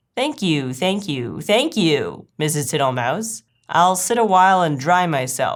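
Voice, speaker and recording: A woman performs a put-on character voice at a fairly low pitch and a fairly slow pace. The recording is very clean, with a silent background. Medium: read story. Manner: slow, smiling, repetitive.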